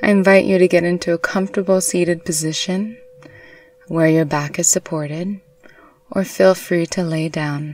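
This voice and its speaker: With fairly even intonation, an unremarkable speaking voice talks. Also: woman, fairly low pitch for a woman. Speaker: meditation guide. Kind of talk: guided meditation, hypnobirthing. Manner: soft, slow, soothing.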